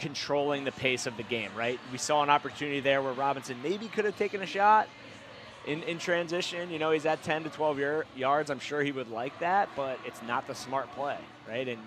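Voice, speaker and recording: A man talks at a moderate pace with a fairly high pitch and lively intonation. Noticeable background noise runs underneath. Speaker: color commentator, professional lacrosse player. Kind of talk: live sports commentary. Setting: press box at stadium.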